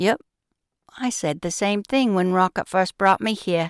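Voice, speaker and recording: A female-sounding, put-on character voice at a middle pitch and moderate pace, on a very clean recording with a silent background. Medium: read story.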